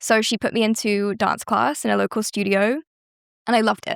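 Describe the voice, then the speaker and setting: A woman with a British accent speaks at a fairly high pitch, a moderate pace, and ordinary pitch variation. The recording is very clean, dry, and close, with a silent background and no echo. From southern England, West Sussex. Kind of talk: interview chat.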